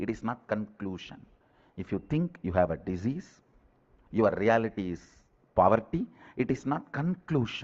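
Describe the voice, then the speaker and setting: This man speaks at a medium pitch with very wide pitch swings. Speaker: spiritual teacher giving a guided meditation talk. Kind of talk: spiritual discourse / guided meditation talk. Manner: emphatic, slow, deliberate.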